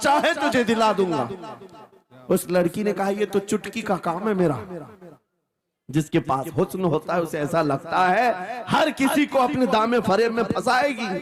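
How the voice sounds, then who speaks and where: A man is speaking. His pitch swings very widely. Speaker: Islamic preacher. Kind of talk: religious sermon (taqreer).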